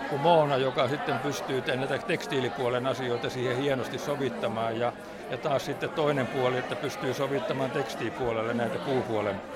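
Audible room echo surrounds the recording. Crowd noise can be heard in the background. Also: man. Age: 80s+. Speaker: retired carpenter. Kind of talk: casual chat. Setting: art exhibition opening. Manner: halting.

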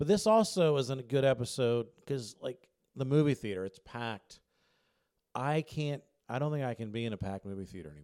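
A man talks at a fairly quick pace in a dark, mellow tone at a medium pitch. His pitch swings very widely, and his loudness rises and falls a lot. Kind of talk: casual interview chat. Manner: joking, self-deprecating.

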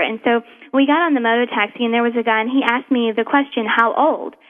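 The speaker moves at a fairly quick pace with ordinary pitch variation. Music plays in the background. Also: woman. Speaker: anti-trafficking activist, school shooting survivor. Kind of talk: interview testimony.

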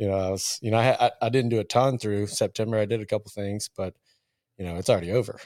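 A man with an American accent talks at a very fast pace, fairly low in pitch with fairly even intonation. The recording is very clean, with a silent background and a dry, close sound with no echo. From Richmond, Virginia. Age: 30s. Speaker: outdoor photographer and videographer. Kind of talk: casual chat.

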